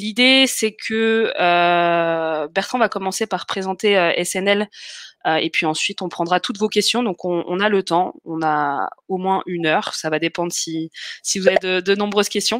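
A woman speaks at a fairly slow pace with ordinary pitch variation. The sound is dry with no echo, and the background is quiet. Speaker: webinar host. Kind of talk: hosting live webinar introduction. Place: home room. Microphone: webcam.

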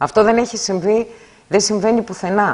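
A woman is speaking. Her pitch sits at a medium level. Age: 50s. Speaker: hospital workers' union representative. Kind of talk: interview. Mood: critical, indignant about staffing. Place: studio. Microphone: lapel.

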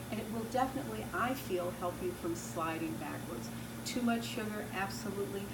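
Loud background noise is present throughout. Over it, a woman speaks at a fairly quick pace. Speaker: raw food health educator. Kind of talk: answering viewer questions. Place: home room.

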